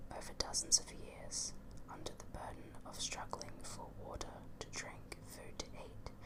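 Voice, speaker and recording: Whispering at a fairly slow pace over noticeable background noise. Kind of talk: audiobook-style book reading; ASMR whisper reading. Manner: whispered.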